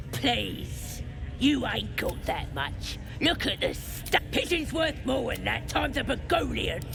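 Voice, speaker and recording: A cartoonish character voice at a very slow pace over loud background noise. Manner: whiny, ungrammatical.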